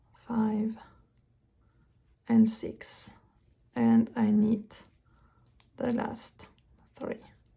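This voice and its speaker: A woman with a French accent, very slow and somewhat breathy, in a monotone, flat delivery broken by long, frequent pauses. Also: fairly high pitch for a woman. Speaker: knitting instructor. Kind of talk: knitting tutorial narration.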